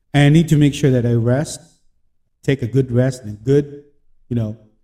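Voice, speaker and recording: A man talks with a medium pitch, a somewhat breathy, dark and mellow tone, and fairly even intonation. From Philippines. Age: 30s. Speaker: podcast host and freelancer. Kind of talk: motivational podcast monologue. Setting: home office.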